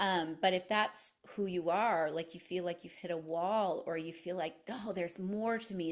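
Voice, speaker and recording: Her voice is a plain, everyday voice, medium in pitch for a woman, with a Canadian accent and fairly even intonation. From Canada. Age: 50s. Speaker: podcaster and personal growth guest. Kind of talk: interview conversation.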